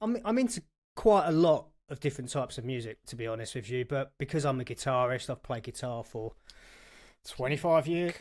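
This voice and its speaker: A man's medium-pitched voice, fairly quick in pace, with lively intonation. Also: very clean recording, silent background. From England, North London. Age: 40s. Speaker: guitarist and accountant, podcast guest. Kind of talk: casual chat.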